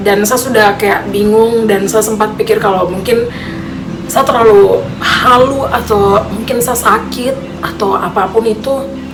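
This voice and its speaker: A woman's fairly high voice, fairly slow and with fairly even intonation, amid audible room echo and noticeable background noise. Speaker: vlogger. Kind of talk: personal storytelling. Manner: casual.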